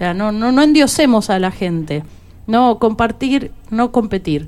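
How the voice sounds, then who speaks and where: An ordinary speaking voice, a woman at a moderate pace with lively intonation. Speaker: folk singer. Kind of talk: radio interview.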